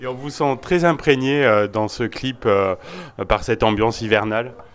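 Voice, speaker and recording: A man's normal speaking voice at medium pitch, fairly slow pace and ordinary pitch variation. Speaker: radio host. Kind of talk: interview questions.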